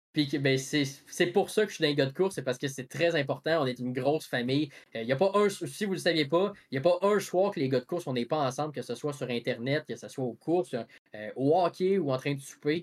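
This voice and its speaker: On a very clean recording with a silent background, a man speaks in a fairly high pitch with a Quebec accent. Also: ordinary pitch variation, fairly quick pace. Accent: Québécois French. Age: 20s. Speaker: podcast host. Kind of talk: casual chat.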